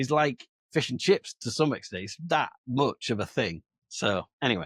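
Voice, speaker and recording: Recorded very cleanly with a silent background and a dry, close sound with no echo, a man with a Yorkshire accent speaks at a moderate pace and fairly high pitch with very wide pitch swings. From Yorkshire, northern England. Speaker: podcast host. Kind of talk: podcast interview.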